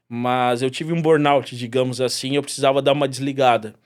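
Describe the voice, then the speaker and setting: A man talks at a moderate pace, varying his pitch in an ordinary way. The recording is very clean and the background silent. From Brazil, São Paulo. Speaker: mixologist. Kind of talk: podcast interview.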